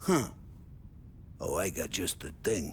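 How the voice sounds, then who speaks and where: A man puts on a loud, raspy character voice over clear background noise. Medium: video game. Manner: loud, jovial.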